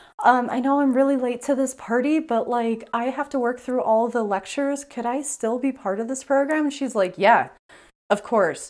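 The woman's voice is high-pitched. She speaks at a moderate pace. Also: ordinary pitch variation. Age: 30s. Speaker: podcast host. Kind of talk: solo podcast monologue. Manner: casual, rambling with fillers.

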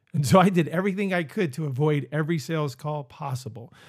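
With an American accent, a man talks at a fairly quick pace in a normal speaking voice with a fairly high pitch. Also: very clean recording, silent background. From Northeast Pennsylvania. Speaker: business coach and podcast host. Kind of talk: motivational monologue.

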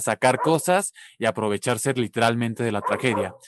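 In an ordinary speaking voice, a man talks at a moderate pace with ordinary pitch variation, the sound dry and close with no echo. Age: 20s. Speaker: social media content creator. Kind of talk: interview conversation.

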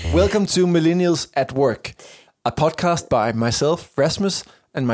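A man at a fairly slow pace with lively intonation, on a very clean recording with a silent background. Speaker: podcast host. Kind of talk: casual chat. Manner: halting.

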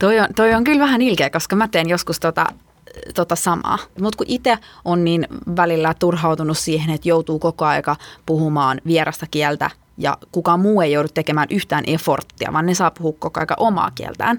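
A woman with an ordinary speaking voice, a fairly low pitch, ordinary pitch variation, a moderate pace and very even loudness, in a dry, close sound with no echo. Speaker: podcast host. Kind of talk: casual chat. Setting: studio.

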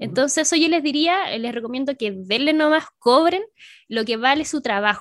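A woman with a Chilean accent talks at a moderate pace in a high pitch, her intonation lively. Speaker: cosplayer and streamer. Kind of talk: casual chat.

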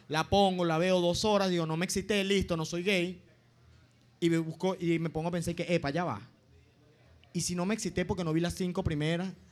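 A man in a Venezuelan accent, high in pitch, talks at a fairly quick pace with fairly even intonation and long, frequent pauses in a very clean recording with a silent background. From Venezuela, Los Llanos. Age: 20s. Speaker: comedian. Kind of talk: stand-up. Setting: stage with audience.

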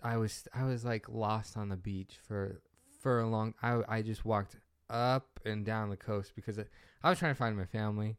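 In a very clean recording with a silent background, a man speaks at a moderate pace and a fairly low pitch with fairly even intonation. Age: 20s. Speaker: podcast co-host. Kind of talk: casual chat. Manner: halting, many fillers.

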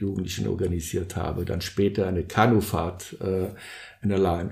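Fairly low in pitch and dark, mellow in tone, a man speaks with vocal fry in a monotone, flat intonation. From Brazil, São Paulo. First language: Portuguese (speaking German). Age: 60s. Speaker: social entrepreneur, surf organisation co-founder. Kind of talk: interview, personal storytelling. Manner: hesitant, many fillers.

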